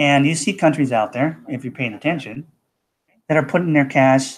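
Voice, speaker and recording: A man with an American accent and an unremarkable speaking voice talks at a moderate pace in a medium pitch on a very clean recording with a silent background. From USA. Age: 60s. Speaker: cryptocurrency promoter. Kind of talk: live broadcast pitch. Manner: casual, repetitive 'okay' fillers.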